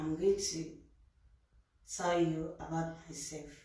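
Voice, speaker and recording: A woman with a Nigerian accent speaks at a fairly low pitch in a monotone, flat intonation. Her pace is fairly slow, and room echo is audible. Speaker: youtuber. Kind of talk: casual talk to camera. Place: home room. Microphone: camera far.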